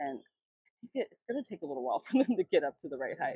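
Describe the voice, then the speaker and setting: A woman talks at a fairly quick pace. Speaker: garden vlogger. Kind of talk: casual vlog tour. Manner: fast; chatty, informal.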